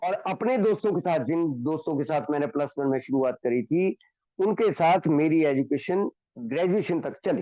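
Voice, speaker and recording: A man with a fairly high pitch speaks with lively intonation. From Himachal Pradesh, India. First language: Hindi (speaking Telugu). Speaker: recovering alcoholic speaker. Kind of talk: recovery testimony. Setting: online meeting.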